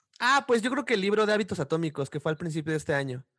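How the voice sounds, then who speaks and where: Recorded dry and close with no echo, a man speaks with a Mexican accent. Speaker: podcast co-host. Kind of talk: casual chat.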